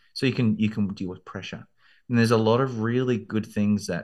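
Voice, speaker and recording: Against a quiet background, a man with an Australian accent talks at a fairly quick pace in a fairly low pitch. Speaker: law school admissions consultant. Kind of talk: interview.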